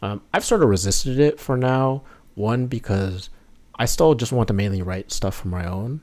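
A man with an American accent talks in a normal speaking voice at medium pitch and a moderate pace. His pitch varies in an ordinary way, and the recording is very clean with a silent background. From New York State, north of the city. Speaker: musician, video game music composer. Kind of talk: casual interview chat.

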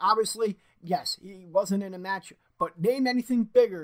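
Male voice, high-pitched and fairly slow, in an American accent. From Philadelphia. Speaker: wrestling podcast host. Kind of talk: casual chat. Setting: live stream.

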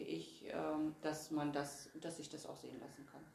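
A woman's very deep, low pitch comes through over noticeable background noise. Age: 50s. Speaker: state politician. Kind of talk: interview. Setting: party offices.

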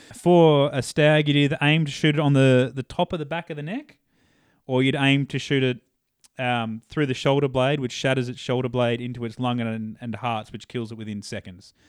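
A man with an Australian accent, at a moderate pace and with ordinary pitch variation. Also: medium pitch for a man. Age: 20s. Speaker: hunter and pipe layer. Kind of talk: casual interview. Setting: home studio, in person.

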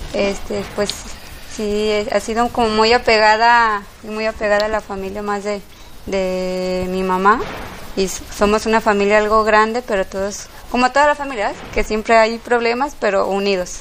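A woman's voice with fairly even intonation, at a fairly slow pace. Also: fairly high pitch for a woman. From Mexico, Guadalajara. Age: 30s. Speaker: café owner. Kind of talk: interview. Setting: café. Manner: halting.

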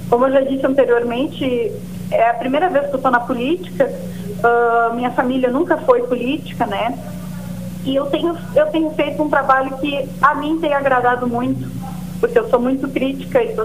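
A woman with a high-pitched voice talks at a moderate pace amid noticeable background noise and audible room echo. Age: 20s. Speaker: local politician and farmer. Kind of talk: interview.

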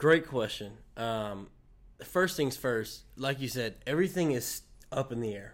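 Speaking fairly slowly, a man uses a normal speaking voice at medium pitch with lively intonation. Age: 20s. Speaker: student ministry pastor. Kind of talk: casual interview.

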